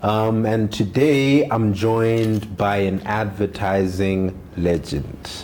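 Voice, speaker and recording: A man's fairly low voice at a very slow pace, hardly any pauses, over noticeable background noise. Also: ordinary pitch variation. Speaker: podcast host. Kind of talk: podcast host talk.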